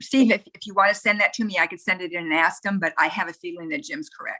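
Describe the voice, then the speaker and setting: A woman's medium-pitched voice with a bright, sharp tone, lively intonation and big swings in loudness. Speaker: youth club district coordinator. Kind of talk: online meeting. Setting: video call. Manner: fast.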